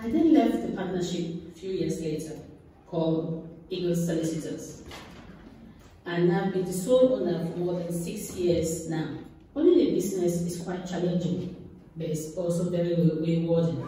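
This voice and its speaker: A woman's fairly low voice at a moderate pace, fairly even in intonation, with strong room echo and light background noise. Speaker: guest. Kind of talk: speech. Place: hall. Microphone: camera far.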